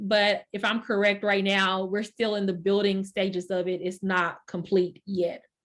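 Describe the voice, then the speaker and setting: With a Texan accent, a woman at medium pitch speaks at a fairly slow pace against a quiet background. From Texas. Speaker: workshop host. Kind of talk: introduction. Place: home room. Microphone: video call.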